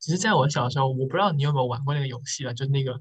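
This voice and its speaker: A somewhat breathy man's voice, fairly high in pitch, with fairly even intonation. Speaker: podcast host. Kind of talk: casual chat.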